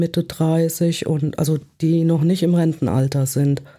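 On a very clean recording with a silent background, a woman speaks very slowly in a fairly low pitch, with a dark, mellow tone and monotone, flat intonation. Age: 60s. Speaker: self-help contact point coordinator. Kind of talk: interview. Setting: studio.

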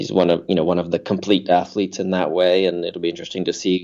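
A man with a Canadian accent talks at a fairly quick pace in a very deep, low pitch, his tone dark and mellow. His intonation is monotone and flat, and the background is quiet. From Canada. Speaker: triathlon coach. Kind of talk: interview.

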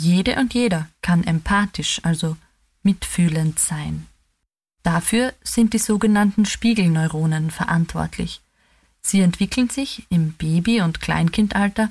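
A woman's somewhat breathy voice at a fairly slow pace, with ordinary pitch variation, on a very clean recording with a silent background. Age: 30s. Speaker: theologian. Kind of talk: scripted reflection.

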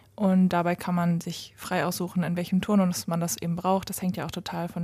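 A somewhat breathy voice with a dark, mellow tone moves at a fairly quick pace with fairly even intonation, in a very clean recording with a silent background. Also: woman. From Westphalia, Germany (Lemgo). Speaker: startup founder. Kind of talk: interview. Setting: company office.

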